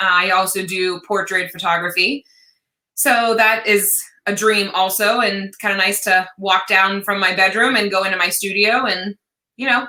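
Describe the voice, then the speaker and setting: Loud and bright with a sharp tone, a woman talks at a medium pitch and a moderate pace, her intonation fairly even. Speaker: wedding photographer. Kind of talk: interview.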